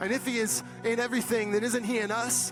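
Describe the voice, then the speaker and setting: Over music in the background, a man speaks in a passionate tone at a moderate pace. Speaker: pastor. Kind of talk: spoken word poetry performance. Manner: rhythmic, rhyming, passionate delivery.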